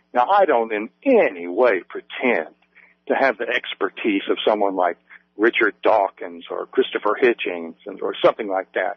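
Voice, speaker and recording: A man in an Appalachian accent at a moderate pace. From West Virginia, US. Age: 50s. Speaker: author. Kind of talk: radio interview.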